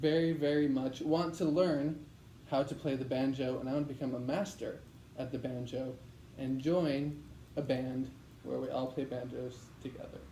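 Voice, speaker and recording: A man with a fairly high pitch speaks at a moderate pace with fairly even intonation, taking long, frequent pauses, and audible room echo surrounds his voice. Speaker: medical student in public speaking class. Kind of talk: practice speech. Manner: voice shaking, not confident.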